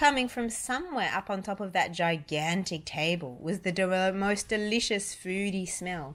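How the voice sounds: Reading naturally, the voice shows ordinary pitch variation.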